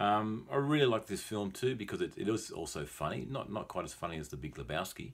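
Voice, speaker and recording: A man with vocal fry talks at a fairly quick pace in a relaxed tone. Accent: Australian. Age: 40s. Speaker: English teacher. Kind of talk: film review talk for English learners. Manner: relaxed, hesitant with many fillers.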